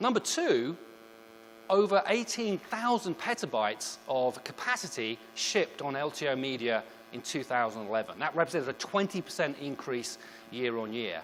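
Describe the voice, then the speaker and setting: With a British accent, a man speaks in a fairly high pitch at a moderate pace, his voice making very wide pitch swings. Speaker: product marketing manager. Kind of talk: presentation. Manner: formal.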